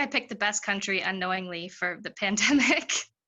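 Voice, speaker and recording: Moving at a fairly quick pace, a woman speaks at a medium pitch. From Canada. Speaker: stand-up comedian and actor. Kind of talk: interview answer. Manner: casual, hesitant.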